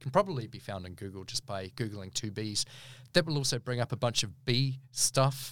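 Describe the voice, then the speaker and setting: A man with a New Zealand accent speaks at medium pitch and a moderate pace. His intonation is lively, and his loudness swings widely. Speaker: barrister. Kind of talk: interview. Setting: recording studio.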